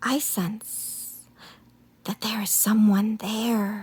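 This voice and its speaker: In a put-on character voice, a woman whispers very slowly, soft-spoken and hissing. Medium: read story. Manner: calm, gentle.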